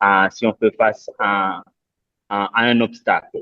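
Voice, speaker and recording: A man with a non-native accent. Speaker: debate participant. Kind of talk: online panel discussion. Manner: halting, many hesitations.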